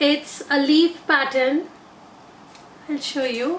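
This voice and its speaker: A woman at a very slow pace, with audible room echo and light background noise. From India. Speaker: beauty vlogger. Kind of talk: product haul video. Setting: in an auto rickshaw. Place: home room. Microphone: phone near.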